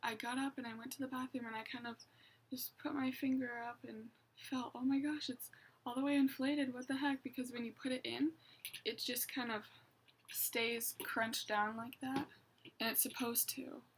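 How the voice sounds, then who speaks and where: Her intonation flat and monotone, a woman speaks quietly at a high pitch. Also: moderate pace. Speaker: vlogger. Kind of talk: casual vlog monologue.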